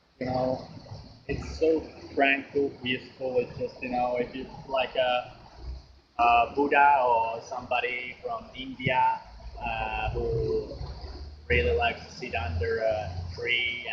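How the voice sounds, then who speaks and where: Long, frequent pauses break up this very slow delivery in a Finnish accent, with big swings in loudness. Background noise is noticeable throughout. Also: man. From Finland. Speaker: vlogger. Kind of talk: casual monologue. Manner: hesitant, many fillers.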